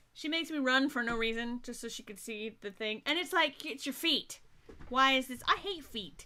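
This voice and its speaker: An animated woman with an American accent, high-pitched, bright and sharp, her voice raised and projected, lively intonation, big swings in loudness, at a moderate pace. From US South. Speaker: web series show host. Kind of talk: casual chat.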